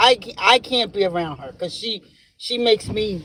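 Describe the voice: Speaking at a fairly slow pace, a man uses a high pitch, a fairly bright tone and ordinary pitch variation.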